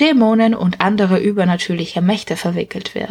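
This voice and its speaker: Moderate-paced speech with ordinary pitch variation, over noticeable background noise. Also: woman. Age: 20s. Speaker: book author and podcast host. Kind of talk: book presentation.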